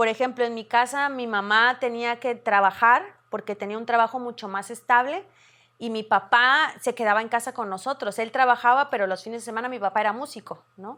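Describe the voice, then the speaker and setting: A woman at a fairly quick pace, with ordinary pitch variation and big swings in loudness, on a very clean recording with a silent background. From Veracruz, Mexico. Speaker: radio announcer. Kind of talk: interview answer.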